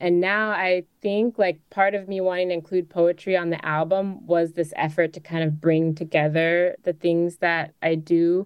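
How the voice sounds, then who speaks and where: Speaking with an American accent, a woman uses an unremarkable speaking voice at a fairly low pitch, keeping her intonation fairly even at a moderate pace with hardly any pauses. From Chicago, US Midwest. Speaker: singer-songwriter and poet. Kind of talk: interview.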